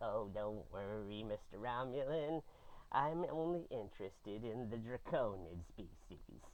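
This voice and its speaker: A man's put-on character voice at a medium pitch and a moderate pace. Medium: actual play. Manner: eager, rambling.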